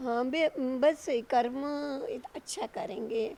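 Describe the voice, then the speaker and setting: A woman speaks. Her tone is dark and mellow. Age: 60s. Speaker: blindfolded idol sculptor. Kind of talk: interview. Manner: halting.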